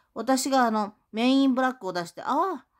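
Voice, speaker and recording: Over a quiet background, a woman is speaking. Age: 60s. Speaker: YouTuber. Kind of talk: monologue vlog. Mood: aggrieved, accusatory. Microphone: phone near.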